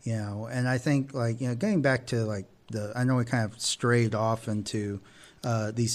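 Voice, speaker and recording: A man with an American accent has an unremarkable speaking voice at a medium pitch. He keeps a moderate pace and fairly even intonation. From Texas. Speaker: podcast co-host. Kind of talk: casual chat.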